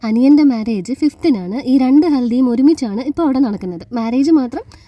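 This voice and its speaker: A quiet voice of dark, mellow tone and lively intonation, in a dry, close sound with no echo. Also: woman. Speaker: vlogger. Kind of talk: vlog narration. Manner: quiet, cannot speak louder.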